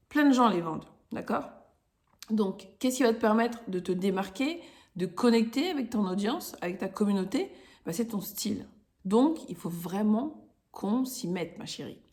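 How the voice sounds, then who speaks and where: The voice is somewhat breathy, with lively intonation and big swings in loudness. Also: woman, fairly high pitch for a woman, fairly slow pace. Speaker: podcast host, style coach for women entrepreneurs. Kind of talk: casual tutorial podcast. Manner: casual, hesitant with fillers.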